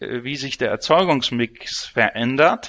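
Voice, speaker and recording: Speaking at a very slow pace, a man talks with a fairly high pitch. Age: 50s. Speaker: energy exchange CEO. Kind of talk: interview.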